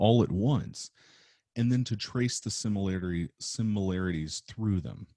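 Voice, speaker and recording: A man with a dark, mellow tone and a fairly low pitch speaks with lively intonation. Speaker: film teacher. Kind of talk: recorded lecture. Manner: halting, stuttering; casual, hesitant with many fillers.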